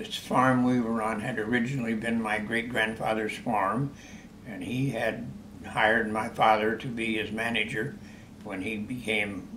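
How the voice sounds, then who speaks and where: Slowish and fairly even in intonation, a man with an American accent is heard with audible room echo and noticeable background noise. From US Midwest, Iowa. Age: 90s. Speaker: war veteran. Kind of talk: interview.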